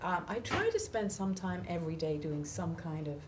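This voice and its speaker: A woman with an English accent, fairly low in pitch, lively intonation, audible room echo and noticeable background noise. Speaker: author and songwriter. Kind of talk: interview.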